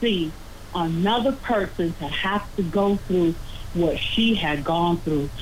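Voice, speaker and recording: Amid noticeable background noise, a woman with an American accent talks at a very slow pace with lively intonation. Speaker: caller. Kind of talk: call-in comment.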